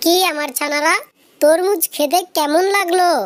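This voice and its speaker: A squeaky, cartoonish character voice that sounds female, pitched extremely high for a woman and delivered at a fairly slow pace. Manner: gentle, earnest.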